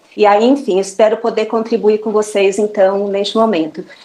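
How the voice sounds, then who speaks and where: A woman speaks with a Brazilian accent. Her pitch is fairly high and her intonation fairly even. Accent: non-Bahian Brazilian. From Brazil, not Bahia. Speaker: mathematics teacher. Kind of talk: online panel talk.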